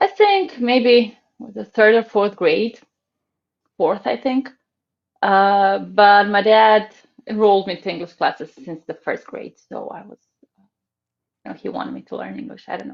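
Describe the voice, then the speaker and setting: A woman in a Croatian accent, with long, frequent pauses and big swings in loudness. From Croatia, Zagreb. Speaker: ballet teacher. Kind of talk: casual interview chat. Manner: hesitant, many fillers.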